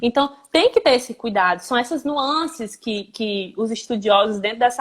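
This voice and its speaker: Moderate-paced speech from a woman, with ordinary pitch variation. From Brazil, Ceará. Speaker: language teacher. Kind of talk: live stream interview.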